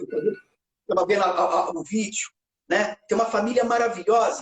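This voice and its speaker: This voice swings very widely in pitch, and the sound is dry and close with no echo. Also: man. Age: 50s. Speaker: TV news reporter. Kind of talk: interview. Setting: live stream. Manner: halting, repeats words.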